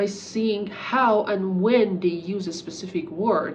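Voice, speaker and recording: A woman speaks at a very slow pace with a medium pitch and fairly even intonation. There is noticeable background noise and audible room echo. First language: Persian. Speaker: English teacher. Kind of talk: talking-head tutorial.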